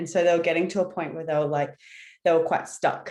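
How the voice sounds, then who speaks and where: With a quiet background, a woman speaks in an Australian accent with a fairly low pitch and fairly even intonation. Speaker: branding strategist. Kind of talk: webinar presentation.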